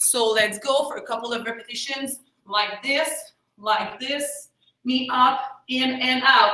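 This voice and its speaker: A woman's high voice is raised and projected, with fairly even intonation. She speaks at a very slow pace amid audible room echo. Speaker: karate instructor. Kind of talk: fitness class instruction.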